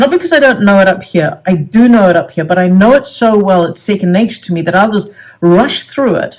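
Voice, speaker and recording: A woman's somewhat breathy voice at a fairly quick pace, with ordinary pitch variation. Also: medium pitch for a woman. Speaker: self-help coach. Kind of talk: tutorial. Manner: halting.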